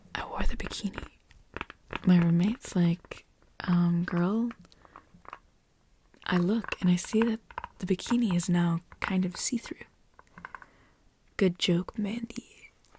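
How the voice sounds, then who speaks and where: Soft-spoken and whispering, the speaker goes at a fairly slow pace with long, frequent pauses. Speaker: ASMR creator. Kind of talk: ASMR reading and reacting to online stories. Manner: soft-spoken, whispery.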